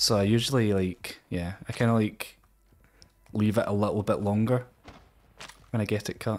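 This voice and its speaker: A man with a Scottish accent speaks at a moderate pace against light background noise. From Scotland. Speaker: Twitch streamer. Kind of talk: casual talk while gaming on stream.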